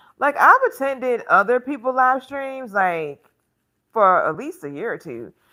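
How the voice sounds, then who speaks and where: A woman with an American accent talks at a fairly slow pace in a high voice, her tone bright and sharp. Her pitch swings very widely, and the recording is very clean with a silent background. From Alabama, US South. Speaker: fashion content creator and live streamer. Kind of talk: casual live stream chat reading comments. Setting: live stream at home on tablet.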